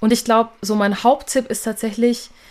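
A woman talks at a moderate pace with a fairly high pitch. She has an ordinary speaking voice. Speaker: singer and songwriter. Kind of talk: casual interview chat.

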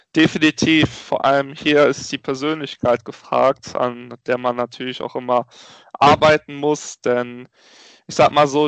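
A man has an ordinary speaking voice with fairly high pitch and fairly even intonation, at a fairly slow pace. The sound is dry and close with no echo, over a quiet background. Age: 20s. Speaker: entrepreneur and network founder. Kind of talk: interview.

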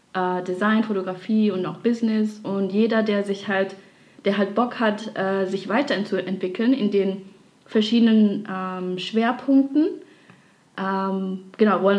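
Speaking at a fairly slow pace, a woman has an unremarkable speaking voice at a medium pitch. Her intonation stays fairly even. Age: 20s. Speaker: dancer and graphic designer. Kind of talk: casual interview.

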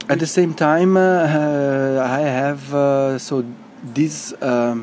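Noticeable background noise sits behind a man whose pitch is fairly high. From Italy. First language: Italian. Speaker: neuroscience researcher. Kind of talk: interview.

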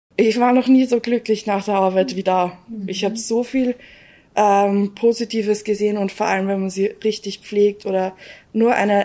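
A woman with a dark, mellow tone speaks at a fairly slow pace in a monotone, flat delivery. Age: 20s. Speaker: home care trainee. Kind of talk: interview.

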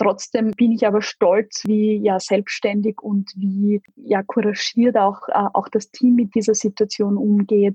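Somewhat breathy and fairly high-pitched, a woman speaks at a fairly slow pace in a monotone, flat intonation. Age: 30s. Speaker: corporate spokesperson. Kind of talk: interview.

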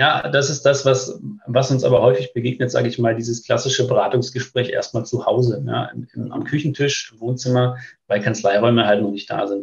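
At a fairly quick pace, a man speaks with a somewhat breathy voice. His pitch is medium and his intonation fairly even. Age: 30s. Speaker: business start-up consultant for tax firms. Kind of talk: casual interview. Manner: hesitant, many filler sounds.

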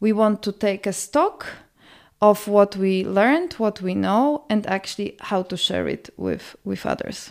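A woman with a Polish accent speaks at a fairly slow pace on a very clean recording with a silent background. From Poland, Warsaw. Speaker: senior migration policy analyst. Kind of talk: podcast interview. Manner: hesitant, many fillers and repetitions.

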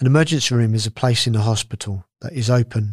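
A man's somewhat breathy voice at a fairly quick pace, with a dry, close sound and no echo. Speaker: podcast presenter. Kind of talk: scripted news reading. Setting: studio. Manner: formal, clear.

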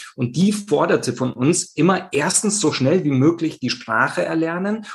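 The voice is somewhat breathy, moving at a moderate pace with lively intonation. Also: man. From Italy, Rome. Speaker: communication trainer and keynote speaker. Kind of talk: interview. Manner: hesitant with many fillers.

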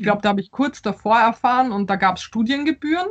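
A woman's somewhat breathy, fairly high-pitched voice with a Polish accent. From Austria and Poland (Vienna, Warsaw). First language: Polish (speaking German). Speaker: novelist. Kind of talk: interview. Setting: video call. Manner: halting, many fillers.

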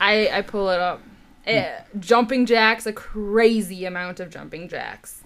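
A very slow-speaking woman with a fairly high pitch and ordinary pitch variation. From Canada. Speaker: athletic trainer. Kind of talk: casual chat.

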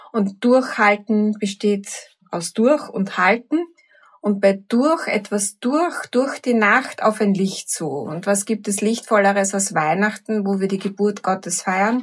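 A woman with a Viennese accent speaks at a very slow pace in a medium-pitched, somewhat breathy voice. Her pitch varies in an ordinary way. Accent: Viennese Austrian German. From Vienna, Austria. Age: 50s. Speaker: teacher and coach. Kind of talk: reflective talk with guided exercise.

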